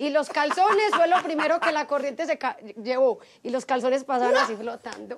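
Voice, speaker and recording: A high-pitched woman with a strong paisa accent, lively intonation and a moderate pace, over loud background noise. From Antioquia, Colombia. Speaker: TV journalist. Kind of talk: interview answer. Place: garden. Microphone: lapel.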